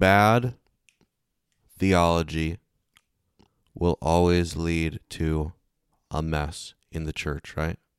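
A man speaks very slowly with a very deep, low pitch and fairly even intonation. Long, frequent pauses break up the dry, close sound with no echo. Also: very clean recording, silent background. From Kentucky. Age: 30s. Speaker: pastor and evangelist. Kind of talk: casual chat.

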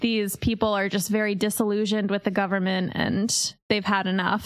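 The pace stays moderate. It is a plain, everyday voice. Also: woman. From Pennsylvania, Centralia area. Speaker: podcast host. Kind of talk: casual storytelling.

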